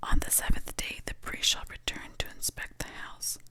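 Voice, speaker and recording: Someone is whispering amid noticeable background noise. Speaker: ASMR Bible reader. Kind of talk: scripture reading. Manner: soft-spoken, slow.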